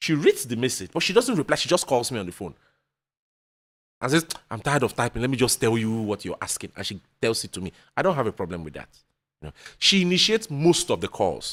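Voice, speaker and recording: A man's medium-pitched voice with vocal fry, very fast yet broken by long, frequent pauses, with very wide pitch swings and big swings in loudness, in a dry, close, very clean recording with no echo and a silent background. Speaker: podcast guest. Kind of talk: casual chat.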